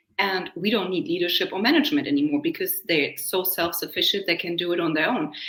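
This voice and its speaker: A woman with a German accent at a very fast pace, lively in intonation and with hardly any pauses. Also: medium pitch for a woman. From Germany. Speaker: leadership coach. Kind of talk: podcast interview.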